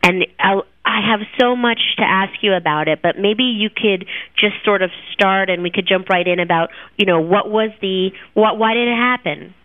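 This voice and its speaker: Speaking at a moderate pace with very even loudness and fairly even intonation, this is a plain, everyday voice. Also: woman, medium pitch for a woman. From New Jersey. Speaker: podcast host. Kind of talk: interview.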